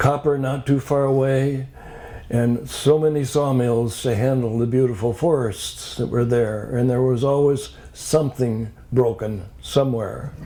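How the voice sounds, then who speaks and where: Noticeable background noise surrounds a man talking with an American accent at a fairly slow pace. His pitch is medium and his intonation fairly even. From US Midwest, Upper Peninsula of Michigan. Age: 90s. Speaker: retired doctor giving life talk. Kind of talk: personal life story talk.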